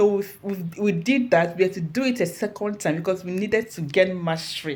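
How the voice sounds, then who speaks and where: In an animated tone, a woman talks at a moderate pace with a medium, somewhat breathy voice and ordinary pitch variation. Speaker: motivational speaker. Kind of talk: inspirational talk.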